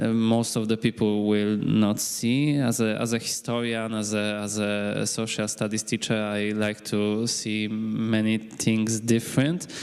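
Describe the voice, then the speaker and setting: A man with a Polish accent speaks at a fairly slow pace in a fairly low, flat monotone. He hardly pauses, and music plays in the background. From Poland, Krakow. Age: 20s. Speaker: high school teacher. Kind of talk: self-introduction at a conference panel. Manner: halting, many fillers.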